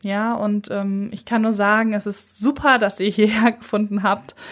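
A very slow pace in a very clean recording with a silent background. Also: woman. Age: 30s. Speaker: podcast host and psychotherapist. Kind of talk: solo podcast introduction.

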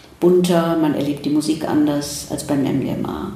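A woman talks at a very slow pace in a fairly low pitch. Audible room echo and noticeable background noise fill the recording. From Germany, Ruhr area. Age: 70s. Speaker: psychiatrist and psychotherapist. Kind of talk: interview conversation. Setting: in person in Zurich.

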